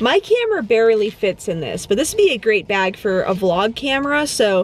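High-pitched female voice at a moderate pace, dry with no echo, over light background noise. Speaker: vlogger. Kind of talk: casual vlog chat. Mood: cheerful, chatty. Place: car. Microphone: phone near.

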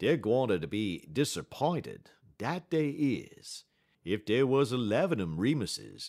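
Lively pitch movement in a reading voice that sounds natural

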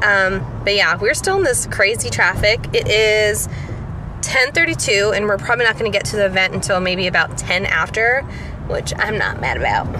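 Over noticeable background noise, a woman talks at a moderate pace, the sound dry with no echo. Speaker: vlogger. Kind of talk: casual vlog chat. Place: car. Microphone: phone near.

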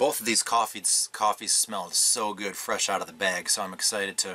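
Against light background noise, a man with a normal speaking voice talks at a moderate pace, fairly low in pitch and fairly even in intonation. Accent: American. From Michigan. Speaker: coffee reviewer. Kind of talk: casual product review. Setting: pop-up camper at an RV park. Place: tent.

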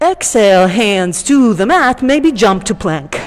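Delivered at a very slow pace, the voice has a warm tone and very wide pitch swings. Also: woman. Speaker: yoga teacher. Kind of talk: yoga class instruction. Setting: studio. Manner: calm, soothing; warm, lightly humorous. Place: gym.

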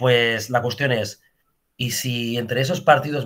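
A man speaks with fairly even intonation. The background stays quiet. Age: 40s. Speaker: political party representative; guest. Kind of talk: interview. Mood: persuasive, earnest.

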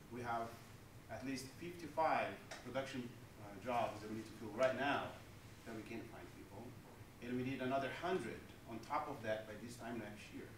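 A man speaks at a moderate pace with ordinary pitch variation and long, frequent pauses, amid noticeable background noise and audible room echo. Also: big swings in loudness. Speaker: manufacturing company leader on a panel. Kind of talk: panel discussion answer. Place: hall. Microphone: camera far.

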